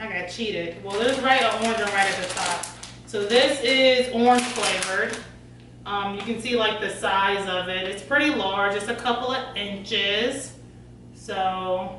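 Light background noise and audible room echo surround a woman who speaks at a moderate pace with ordinary pitch variation. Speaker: food reviewer. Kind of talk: casual vlog chat. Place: kitchen. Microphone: camera far.

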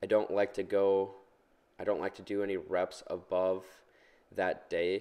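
Fairly slow speech with long, frequent pauses against a quiet background. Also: man. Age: 20s. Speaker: fitness vlogger and student. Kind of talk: vlog narration and workout tutorial. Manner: casual, with fillers.

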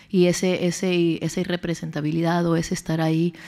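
A dark, mellow tone marks this woman's fairly low-pitched voice. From Mexico, Tijuana border region. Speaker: professor. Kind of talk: conference talk. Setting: stage with audience.

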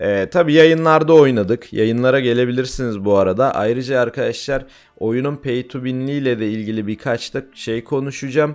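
A man talks at a moderate pace with hardly any pauses. His voice sits at a medium pitch with ordinary pitch variation. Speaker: gaming YouTuber and streamer. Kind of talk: gameplay tutorial. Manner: hesitant fillers.

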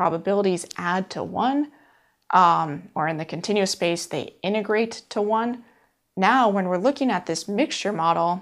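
A woman talks at a moderate pace and with lively intonation, the background around her quiet. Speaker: course instructor. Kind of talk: lecture. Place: studio.

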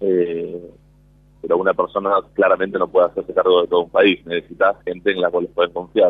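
Here is a man with a Rioplatense accent. He talks at a fairly quick pace. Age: 20s. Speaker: disaster survivor. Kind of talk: testimony. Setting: outdoors at a memorial event outside a nightclub. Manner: halting.

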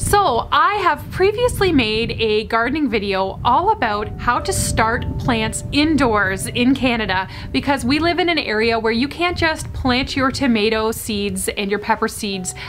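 Over background music, a woman speaks at a fairly slow pace with lively intonation. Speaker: home gardening vlogger. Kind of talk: casual vlog chat. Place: street.

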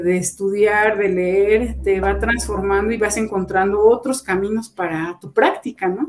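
A woman speaks at a fairly slow pace. Her intonation stays fairly even. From Mexico, Zacatlán, Puebla; Puebla, Mexico. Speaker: music education professor. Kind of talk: interview. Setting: video call. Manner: halting, many repetitions. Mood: reflective, calm. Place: home room.

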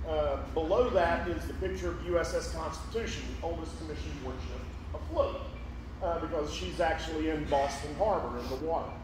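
The speech moves at a fairly quick pace. There is audible room echo and noticeable background noise. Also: man. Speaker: presenter. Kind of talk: lecture. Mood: relaxed, anecdotal. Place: hall.

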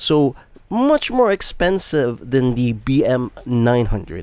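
Speaking slowly at a medium pitch, a man uses a clear, smooth, slightly mellow tone with very wide pitch swings.

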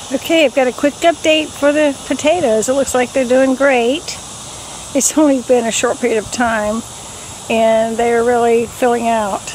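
The speech moves at a moderate pace in a dry sound with no echo, with light background noise. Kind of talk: casual vlog chat. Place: garden. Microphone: phone near.

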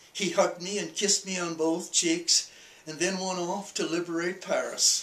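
Speaking fairly slowly with an American accent, a man keeps a high pitch and fairly even intonation in audible room echo. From Minnesota, USA. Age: 80s+. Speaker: World War II veteran. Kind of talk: oral history interview. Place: home room. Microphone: camera far.

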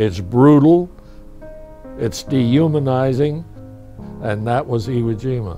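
Music in the background behind a man with an American accent, medium pitch, ordinary pitch variation and a very slow pace. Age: 80s+. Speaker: war veteran. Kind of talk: interview answer.

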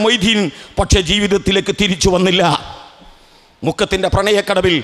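The man speaks in a monotone, flat intonation. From Kerala, Kozhikode district; Kerala, India. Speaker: political speaker; speaker. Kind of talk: political speech at memorial rally. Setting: outdoor public meeting under a tent. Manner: oratorical, rhetorical questions to audience. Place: stage. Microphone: podium.

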